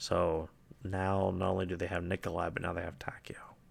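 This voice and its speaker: Whispering at a fairly quick pace, a man is captured on a very clean recording with a silent background. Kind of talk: quiet lore reading with commentary. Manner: soft-spoken.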